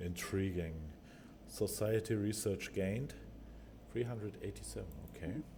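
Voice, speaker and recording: Speaking at a moderate pace with long, frequent pauses, a man talks in a German accent. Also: fairly low pitch for a man, ordinary pitch variation. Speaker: gaming video creator. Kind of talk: gameplay commentary. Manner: halting.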